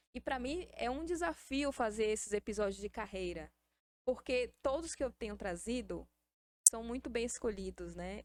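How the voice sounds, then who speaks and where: A woman's fairly high voice with vocal fry, lively intonation, a moderate pace and a slight Bahian accent. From Salvador, Bahia, Brazil. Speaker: podcast host. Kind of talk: casual interview.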